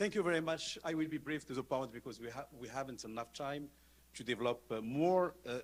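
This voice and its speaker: Fairly high male pitch with ordinary pitch variation on a very clean recording against a silent background. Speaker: law professor. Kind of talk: conference talk. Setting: conference panel. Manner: halting.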